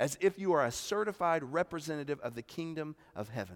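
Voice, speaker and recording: A man with a Southern US accent speaks at a fairly high pitch with lively intonation, in a dry, close sound with no echo and a very clean recording with a silent background. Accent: Southern American. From US South, South Carolina Midlands. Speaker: pastor. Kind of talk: sermon. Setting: church.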